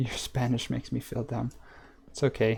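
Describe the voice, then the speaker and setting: With an American accent and vocal fry, a man speaks at medium pitch and a moderate pace in a dark, mellow tone, monotone and flat. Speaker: gaming streamer. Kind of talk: live stream gameplay chat. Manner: casual, chatty.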